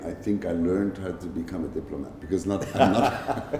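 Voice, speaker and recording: A man with a very deep, low voice speaks at a moderate pace with fairly even intonation. Audible room echo and noticeable background noise come through. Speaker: pavilion commissioner general. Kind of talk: interview conversation. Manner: loud, straightforward.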